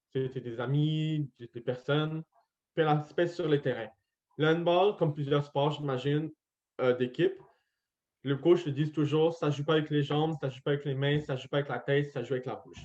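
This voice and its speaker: With a Quebec accent, a man talks at a moderate pace, leaving long, frequent pauses. His pitch is fairly high and his intonation fairly even. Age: 20s. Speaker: deaf medical student. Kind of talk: interview testimony. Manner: articulation affected by hearing loss; volume hard to balance.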